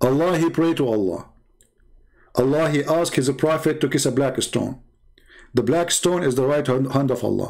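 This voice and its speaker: Speaking at a moderate pace with long, frequent pauses, a man holds a very even loudness, with a fairly high pitch and ordinary pitch variation. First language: not English. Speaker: religious debater and live streamer. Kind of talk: live stream monologue. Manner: animated, confrontational.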